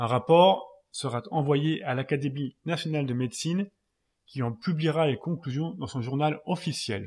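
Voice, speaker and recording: On a very clean recording with a silent background, a man speaks fairly slowly at a fairly high pitch, somewhat breathy, with ordinary pitch variation. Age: 40s. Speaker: podcast host. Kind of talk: scripted narration.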